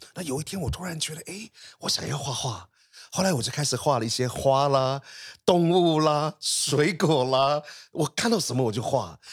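At a moderate pace and with lively intonation, a man talks in a somewhat breathy voice. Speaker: artist. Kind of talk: interview.

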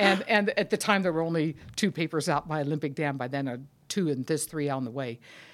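Speaking at a very fast pace, a woman has a very deep, low pitch and ordinary pitch variation. The recording is very clean, with a silent background. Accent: American. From California, US. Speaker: mining geologist. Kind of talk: interview.

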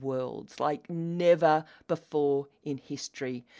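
A woman with an Australian accent speaks in a very deep, low voice. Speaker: podcast host, business coach for women. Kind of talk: solo podcast monologue, partly reading an email aloud. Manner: passionate, emphatic.

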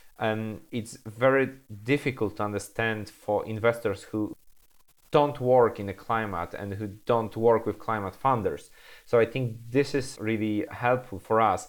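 On a very clean recording with a silent background, a man with a Polish accent speaks at a medium pitch with fairly even intonation. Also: fairly slow pace. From Poland. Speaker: startup founder and CEO. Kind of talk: casual interview chat. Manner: halting, repeats words.

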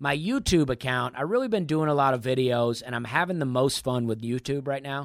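A man's plain, everyday voice with an American accent, medium pitch and ordinary pitch variation, at a moderate pace, on a very clean recording with a silent background. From US South, Alabama (Opelika). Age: 30s. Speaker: stand-up comedian. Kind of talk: casual interview chat.

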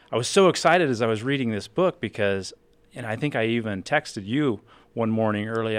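This man has an ordinary speaking voice, pitched in the middle. His intonation is lively and his delivery fairly quick. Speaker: financial advisor. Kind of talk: casual chat. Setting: studio.

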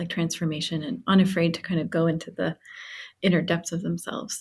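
A woman speaks at a fairly quick pace in a somewhat breathy, fairly low voice. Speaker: flower alchemist. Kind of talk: casual chat.

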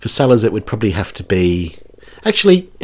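A man talks with a New Zealand accent and ordinary pitch variation. His voice is somewhat breathy. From New Zealand, rural town. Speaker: comedy podcast host. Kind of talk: casual chat.

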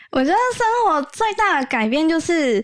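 The recording is very clean, and the background is silent. A woman talks fairly slowly, her pitch swinging very widely. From Taiwan, Kaohsiung. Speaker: solo idol singer. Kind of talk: casual interview chat.

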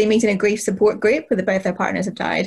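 A woman speaks at a medium pitch, somewhat breathy, in monotone, flat intonation. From Northern Ireland. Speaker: crime author. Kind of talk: panel discussion.

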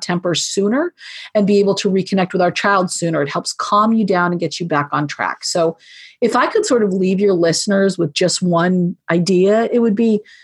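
A woman talks at a moderate pace in a plain, everyday voice, her pitch medium with ordinary variation. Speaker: podcast guest, parenting book author.

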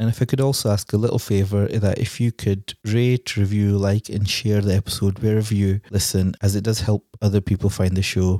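In a Glasgow accent, a man talks at a fairly quick pace with a dark, mellow tone, a fairly low pitch and monotone, flat intonation. The recording is very clean with a silent background and a dry, close sound with no echo. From Scotland. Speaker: podcast host. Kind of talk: casual panel discussion. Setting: studio.

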